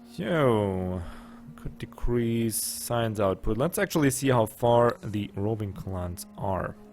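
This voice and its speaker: With music in the background, a man talks at a very slow pace using lively intonation. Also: medium pitch for a man. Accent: slight German. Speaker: gaming YouTuber. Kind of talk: let's play commentary. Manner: casual, thinking aloud.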